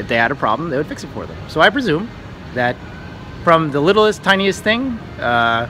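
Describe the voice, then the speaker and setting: Over noticeable background noise, a man with an American accent talks at a moderate pace, his pitch swinging very widely. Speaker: travel vlogger. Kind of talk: casual storytelling.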